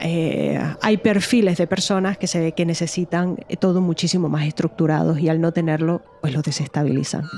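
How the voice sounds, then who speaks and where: A woman with a Canarian accent talks at a moderate pace and a fairly low pitch, with fairly even intonation, very even loudness and hardly any pauses. There is noticeable background noise. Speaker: true crime podcast co-host. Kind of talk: casual podcast chat.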